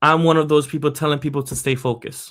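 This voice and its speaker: In a very clean recording with a silent background, a man speaks in a fairly high pitch with monotone, flat intonation. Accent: Spanish. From Puerto Rico. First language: Spanish. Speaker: podcast host. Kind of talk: personal storytelling podcast monologue.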